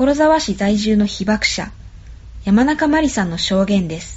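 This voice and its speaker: Her pitch swinging very widely around a medium level, a woman speaks at a fairly slow pace. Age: old. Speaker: program navigator. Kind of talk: scripted narration. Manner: formal.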